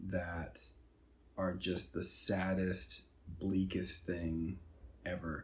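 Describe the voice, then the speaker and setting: A man speaks in a very deep, low pitch at a very slow pace. His voice is somewhat breathy. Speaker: movie podcast host. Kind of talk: casual chat. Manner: casual, conversational.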